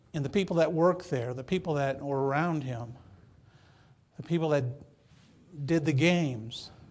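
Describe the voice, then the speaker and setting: Amid audible room echo, a man with a fairly high pitch and ordinary pitch variation speaks at a moderate pace with long, frequent pauses. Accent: American. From Michigan. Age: 60s. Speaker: pastor. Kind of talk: sermon. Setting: church.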